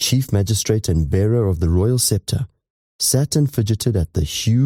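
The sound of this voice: Quiet background behind an unforced reading voice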